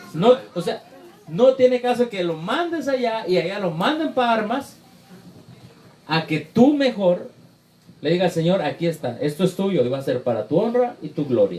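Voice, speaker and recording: Very wide pitch swings from a man, noticeable background noise behind him. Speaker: preacher. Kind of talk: Q&A session with congregation. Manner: fast.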